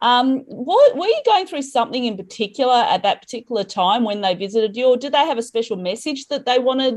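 A woman's high voice with an Australian accent, lively intonation, hardly any pauses and a very fast pace. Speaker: spirituality podcast host. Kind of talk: casual interview.

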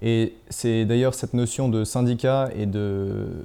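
This man's voice has a dark, mellow tone, a medium pitch and fairly even intonation. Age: young. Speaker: independent journalist. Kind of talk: interview.

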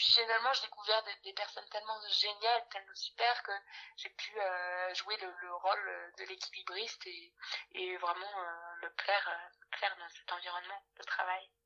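Her intonation is monotone and flat. The woman's pitch is medium, with big swings in loudness. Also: moderate pace. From France, Bordeaux. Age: 20s. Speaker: HR work-study student. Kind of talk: interview. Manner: hesitant with fillers.

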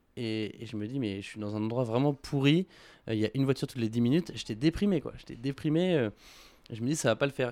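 Very fast speech comes from a man at medium pitch, with ordinary pitch variation. The recording is very clean, the background silent. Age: 20s. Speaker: entrepreneur. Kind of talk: interview. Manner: hesitant, many fillers.

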